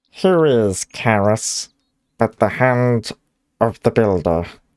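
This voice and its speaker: A man in a put-on character voice at a medium pitch and very slow pace, on a very clean recording with a silent background. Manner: reverent, declamatory.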